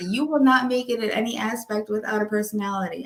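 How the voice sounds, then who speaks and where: Bright and sharp in tone, a woman with a New York accent speaks animatedly at a moderate pace and a fairly high pitch. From US Northeast, Long Island, New York. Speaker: notary and wedding officiant. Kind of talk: casual interview chat.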